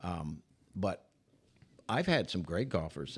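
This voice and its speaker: This man has a very deep, low voice with vocal fry and an American accent. He speaks at a fairly slow pace with lively intonation on a very clean recording with a silent background. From Michigan. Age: 70s. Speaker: retired sportscaster. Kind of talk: casual chat.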